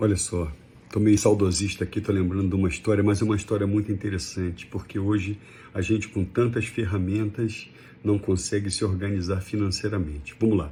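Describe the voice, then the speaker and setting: Fairly quick, somewhat breathy speech in a dark, mellow tone with fairly even intonation. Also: man, fairly low pitch for a man. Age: 60s. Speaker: personal finance commentator. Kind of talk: casual talk to camera. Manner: conversational, with hesitations.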